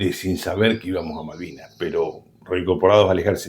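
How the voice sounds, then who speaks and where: A man with a very deep, low pitch talks at a moderate pace, somewhat breathy. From Argentina, Buenos Aires province. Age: 60s. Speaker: war veteran. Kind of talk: interview. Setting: at home.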